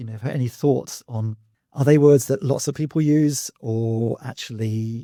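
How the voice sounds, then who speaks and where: Dark and mellow in tone, this man's voice is somewhat breathy and pitched in the medium range. He keeps a moderate pace with ordinary pitch variation. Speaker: university English lecturer. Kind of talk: podcast host talk.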